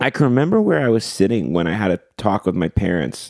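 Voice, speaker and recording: With a Canadian accent, a man speaks in an animated tone, the sound dry and close with no echo. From Ontario, Canada (Port Perry). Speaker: singer-songwriter and event promoter. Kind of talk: casual interview.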